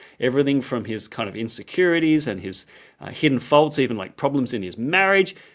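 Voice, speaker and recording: An animated man with an Australian accent speaks at a fairly high pitch with very wide pitch swings, in a very clean recording with a silent background. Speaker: Bible scholar, lecturer. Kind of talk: interview. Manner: casual, animated.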